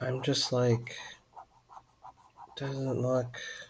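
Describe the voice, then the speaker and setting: A man speaks quietly at a medium pitch and a very slow pace, with fairly even intonation. Noticeable background noise sits under his voice. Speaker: artist live-streaming drawing. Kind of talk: casual live-stream chat while drawing. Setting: live stream.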